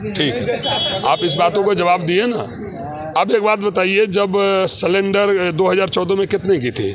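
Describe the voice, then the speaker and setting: A man speaks at a high pitch with ordinary pitch variation. Noticeable background noise is present. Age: 60s. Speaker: member of the public. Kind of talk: street interview, heated political opinion. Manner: animated.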